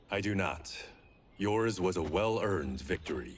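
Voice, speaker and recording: A man uses a put-on character voice with a very deep, low pitch. His pace is moderate. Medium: video game. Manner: dry, sardonic.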